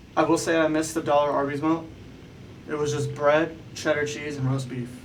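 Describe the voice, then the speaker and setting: With an American accent, a man with a fairly high pitch speaks at a fairly quick pace in a room with audible echo. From Texas small town. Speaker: podcast co-host. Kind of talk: casual chat. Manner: animated.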